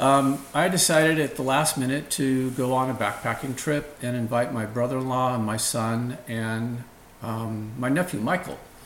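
A medium-pitched man at a fairly slow pace, with audible room echo and noticeable background noise. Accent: American. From San Francisco Bay Area, California. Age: 50s. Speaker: financial advisor. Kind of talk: interview.

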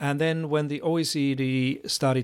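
The speech carries a Finnish accent. Its intonation stays fairly even. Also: man. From Finland. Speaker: education expert. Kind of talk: interview. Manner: halting.

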